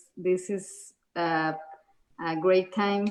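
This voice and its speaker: A woman with a Spanish accent speaks very slowly in a fairly low, monotone, flat voice. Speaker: artist, stay-at-home parent. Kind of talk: online panel interview. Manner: halting.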